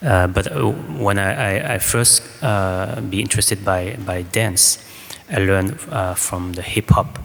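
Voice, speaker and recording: A man with a French accent speaks at a fairly low pitch with lively intonation. Noticeable background noise sits behind him. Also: fairly slow pace. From France. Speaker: choreographer. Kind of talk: panel discussion answer. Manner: halting.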